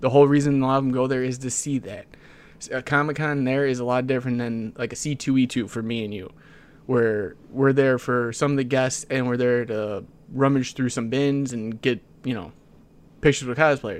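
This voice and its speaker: A man talks in an unremarkable speaking voice at a medium pitch and moderate pace. His intonation stays fairly even against a quiet background. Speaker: podcast co-host. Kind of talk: casual chat.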